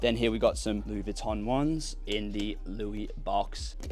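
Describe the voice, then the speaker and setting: The speaker has an Australian accent. Music plays in the background. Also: man. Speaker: fashion haul youtuber. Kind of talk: casual unboxing video. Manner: animated.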